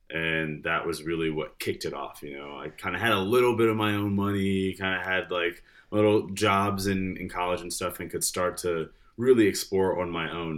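A man speaks at a fairly quick pace in a very deep, low voice, with ordinary pitch variation. The recording is very clean and the background silent. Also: big swings in loudness. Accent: American. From Michigan, Detroit area. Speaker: real estate agent and musician. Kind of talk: casual chat.

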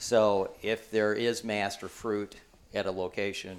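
This man has an ordinary speaking voice with an American accent. His pitch is fairly low, with ordinary pitch variation. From Michigan. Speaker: bowhunting author. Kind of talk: casual chat. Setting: indoors at a hunting gathering.

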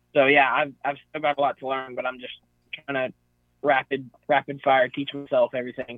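Someone talks at a moderate pace with an American accent and monotone, flat intonation. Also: man, fairly high pitch for a man. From Northeast Texas. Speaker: hunter. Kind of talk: casual chat.

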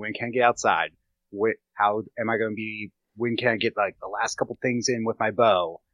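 Fairly quick speech with an American accent, monotone, flat intonation and big swings in loudness. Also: man. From Pennsylvania. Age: 30s. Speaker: fitness and nutrition coach. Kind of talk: casual interview chat.

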